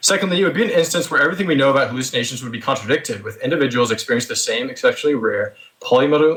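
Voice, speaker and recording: A man talks at a very fast pace. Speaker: theist debater. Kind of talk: debate opening statement. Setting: voice chat.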